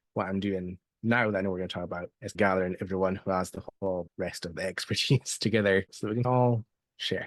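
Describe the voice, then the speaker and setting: In a Scottish accent, a man with a fairly low pitch and fairly even intonation speaks at a very fast pace, the sound dry and close with no echo against a quiet background. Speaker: seller coach and email marketer. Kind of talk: interview.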